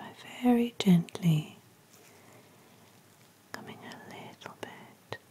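A woman is whispering. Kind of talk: soft-spoken role-play instructions. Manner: soft-spoken, slow and gentle. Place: home room.

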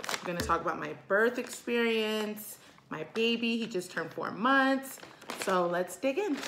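A woman with lively intonation at a moderate pace, with noticeable background noise. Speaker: vlogger. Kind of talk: casual vlog chat. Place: kitchen. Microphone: phone near.

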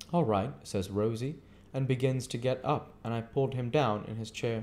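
A man's dark, mellow tone moves at a moderate pace. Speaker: amateur reader. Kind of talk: audiobook reading. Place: home room. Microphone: webcam.

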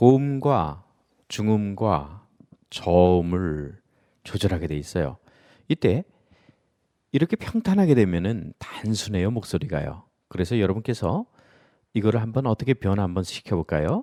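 Dark, mellow tone at a fairly slow pace, with lively intonation, long and frequent pauses, and a dry, close sound with no echo on a very clean recording over a silent background. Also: man, fairly low pitch for a man. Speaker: lecturing and academy-setup instructor. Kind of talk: tutorial. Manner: clear, instructive.

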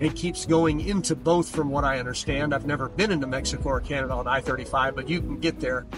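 A man speaks at a very fast pace with hardly any pauses. The sound is dry with no echo, and clear music plays in the background. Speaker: local guide. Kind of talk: casual driving commentary. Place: car.

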